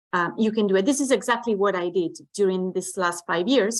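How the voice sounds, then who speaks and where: A woman with medium pitch speaks with an Italian accent. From Italy. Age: 40s. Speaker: network marketing distributor. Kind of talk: online training presentation.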